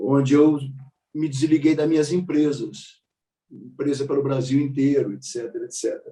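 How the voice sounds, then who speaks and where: A man speaks at a moderate pace in a fairly high pitch, somewhat breathy, with a dark, mellow tone. His intonation stays fairly even while his loudness swings widely. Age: 60s. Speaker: meditation teacher and mindfulness coach. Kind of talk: panel talk, personal life story. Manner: halting, with frequent repetitions.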